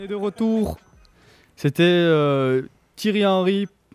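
A high-pitched male voice at a very slow pace, with ordinary pitch variation and music in the background. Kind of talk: live radio sports show host patter, briskly reading scores and news. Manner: brisk, upbeat, businesslike delivery.

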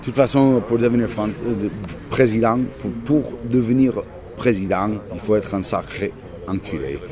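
Over noticeable background noise, a man with an American accent speaks at a moderate pace and medium pitch, with ordinary pitch variation. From United States. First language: English (speaking French). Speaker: blues musician. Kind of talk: casual interview. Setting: outdoor café terrace.

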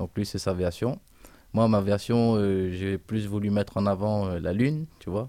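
Fairly slow and dark, mellow in tone, this man's voice sits at a fairly low pitch with ordinary pitch variation. The recording is very clean, with a silent background. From Réunion. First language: Réunion Creole (speaking French). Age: 20s. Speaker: musician. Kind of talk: radio interview.

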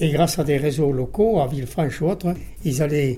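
Somewhat breathy, this man speaks with a fairly high pitch. His pace is moderate and his pitch variation ordinary. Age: 80s+. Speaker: war veteran, former resistance fighter. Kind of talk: testimony.

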